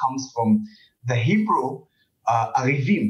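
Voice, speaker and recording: This man's voice sits at a medium pitch and is somewhat breathy. His pitch swings very widely. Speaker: social activist and commentator. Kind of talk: interview.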